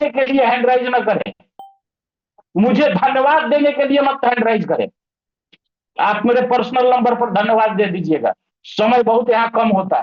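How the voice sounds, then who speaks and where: Pausing long and often, a man with an extremely high pitch speaks in a stern tone, with very even loudness and ordinary pitch variation. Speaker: network marketing team leader. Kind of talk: online group meeting speech. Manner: stern, forceful.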